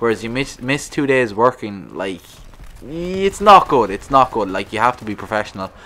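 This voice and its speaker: With a strong Irish accent, a man at medium pitch speaks at a moderate pace, his intonation lively and his loudness swinging widely. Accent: thick rural Irish. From rural Ireland. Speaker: gaming YouTuber. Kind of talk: casual vlog monologue. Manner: halting, repetitive.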